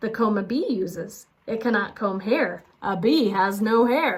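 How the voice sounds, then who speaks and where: This woman uses a put-on character voice. It sits fairly high in pitch and moves at a fairly slow pace. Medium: read story. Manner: eager, goofy.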